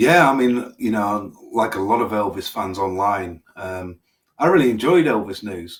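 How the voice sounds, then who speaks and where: This man speaks fairly slowly with an English accent. His pitch sits fairly low, and his intonation is lively. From England. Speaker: podcast host. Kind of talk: interview.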